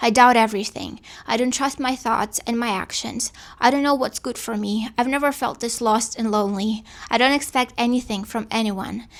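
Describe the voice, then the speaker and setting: A woman talks at a moderate pace in a fairly high pitch, her intonation fairly even. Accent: Russian. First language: Russian. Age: 20s. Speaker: podcaster. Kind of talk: reading aloud a personal monologue.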